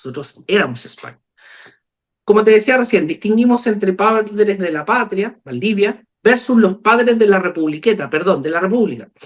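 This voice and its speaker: A man's high-pitched voice at a moderate pace, with lively intonation and big swings in loudness. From Chile, Copiapó. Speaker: lawyer and author. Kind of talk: video call discussion.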